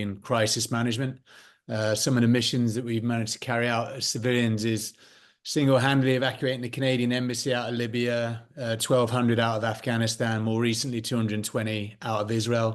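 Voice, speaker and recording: Speaking very fast in a monotone, flat intonation, a man with a British accent is heard against a quiet background. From United Kingdom. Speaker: former special forces soldier and security consultant. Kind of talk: interview.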